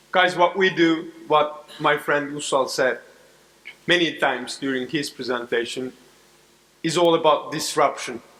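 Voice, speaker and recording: Fairly slow, fairly even speech broken by long, frequent pauses, with noticeable background noise. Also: man, fairly high pitch for a man. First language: Turkish. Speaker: corporate advisor. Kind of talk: keynote speech. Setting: stage with audience.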